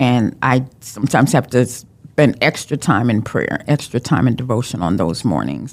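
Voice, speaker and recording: A woman with a very deep, low pitch and vocal fry talks at a moderate pace with lively intonation and hardly any pauses. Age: 60s. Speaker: domestic abuse survivor. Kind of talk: testimony.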